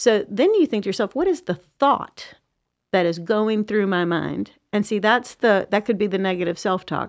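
In an unremarkable speaking voice, a woman with an American accent talks at a moderate pace against a quiet background. Her pitch is medium, with ordinary variation. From US South. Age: 50s. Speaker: executive coach. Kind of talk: casual chat. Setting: studio.

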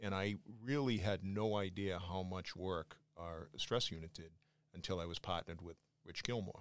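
A very deep, low-pitched man's voice in a Boston accent, at a moderate pace with ordinary pitch variation. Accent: Boston, Massachusetts. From Quincy, Massachusetts. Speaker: police chief. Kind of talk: casual interview.

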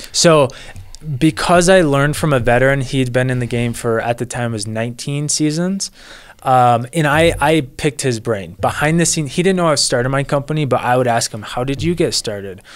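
Fairly quick speech in an unremarkable speaking voice with ordinary pitch variation. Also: man, medium pitch for a man. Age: 20s. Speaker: lawn care business owner. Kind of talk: casual interview.

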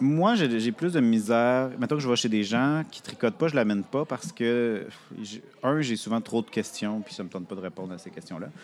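Lively in intonation, a man with an unremarkable speaking voice and medium pitch talks at a fairly quick pace, his loudness swinging widely. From Quebec City. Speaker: podcaster and knitter. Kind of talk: casual interview. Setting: live at a festival.

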